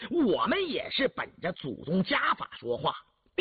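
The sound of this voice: An unforced reading voice over a quiet background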